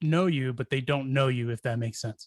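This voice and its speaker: At a fairly quick pace, an unremarkable speaking voice talks with ordinary pitch variation in a very clean recording with a silent background, dry and close with no echo. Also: man. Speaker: podcast host. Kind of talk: casual podcast hosting.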